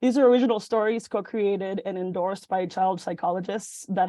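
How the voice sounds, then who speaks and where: A woman's medium-pitched voice with a dark, mellow tone, fairly even intonation and fairly quick pace, quiet background. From Mexico, moved to Illinois at about eleven. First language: Spanish. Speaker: venture fellow, startup pitch presenter. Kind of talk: startup pitch presentation. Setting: video call. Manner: halting, many fillers.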